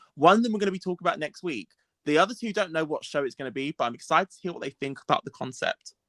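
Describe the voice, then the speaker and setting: A man's very fast, high-pitched voice with a bright, sharp tone and a British accent. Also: lively intonation, dry, close sound with no echo. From UK. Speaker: podcast co-host. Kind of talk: casual chat.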